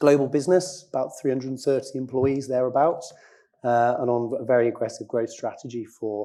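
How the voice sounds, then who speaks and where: Talking at a very fast pace, a man has a medium pitch, a dark, mellow tone and ordinary pitch variation. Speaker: IT operations director at a tech company. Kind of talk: conference panel talk. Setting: stage with audience.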